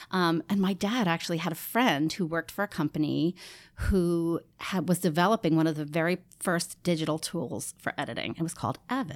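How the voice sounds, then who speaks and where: With a plain, everyday voice, a woman speaks at a fairly quick pace with a fairly low pitch and ordinary pitch variation on a very clean recording with a silent background. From New York, Rockland County. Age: 40s. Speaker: theatre marketing director. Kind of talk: interview.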